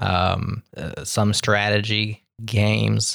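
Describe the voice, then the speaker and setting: A man with an American accent speaks in a fairly low pitch. The recording is very clean with a silent background, and the sound is dry and close with no echo. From Midwestern US (Omaha, Nebraska). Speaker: podcast co-host, developer. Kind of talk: casual chat.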